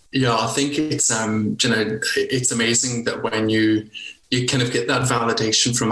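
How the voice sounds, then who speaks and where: A man with a Scottish accent speaks at a moderate pace, with audible room echo and noticeable background noise. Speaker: nurse leader and coach. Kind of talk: podcast interview.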